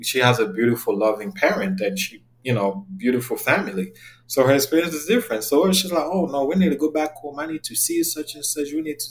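Talking very fast with a French accent, a man with a fairly high voice makes very wide pitch swings. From Cameroon. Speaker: therapist. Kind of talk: interview.

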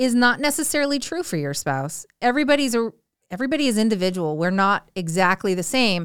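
Recorded very cleanly against a silent background, a woman uses a normal speaking voice at a fairly high pitch and a moderate pace. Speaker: co-host, wife of the host. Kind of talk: casual chat. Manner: direct, blunt.

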